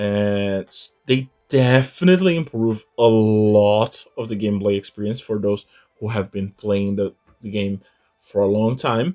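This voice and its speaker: With music in the background, a man with a non-native accent speaks fairly slowly in a fairly low voice. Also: ordinary pitch variation. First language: not English. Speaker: gaming YouTuber. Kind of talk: gameplay tutorial commentary. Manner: halting, with repeated words.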